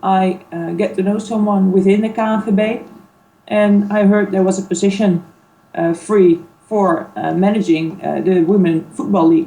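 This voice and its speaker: Fairly even intonation with a Dutch accent. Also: woman, medium pitch for a woman, moderate pace. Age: 30s. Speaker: sports league manager. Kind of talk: interview. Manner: hesitant, many fillers.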